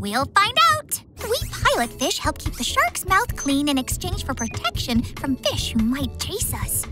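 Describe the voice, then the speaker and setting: A cartoonish character voice over clear background music. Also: moderate pace. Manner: warm, chatty, reassuring.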